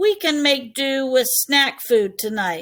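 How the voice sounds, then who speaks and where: In a put-on character voice, a woman growls at a high pitch, taking a fairly slow pace and swinging her pitch very widely. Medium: read story. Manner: growling.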